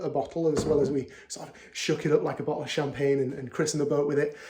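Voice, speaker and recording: Speaking at a fairly quick pace, a man talks in a Yorkshire accent. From Yorkshire, northern England. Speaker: beer vlogger. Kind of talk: casual video monologue. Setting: at home. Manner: hesitant, many fillers and repeats.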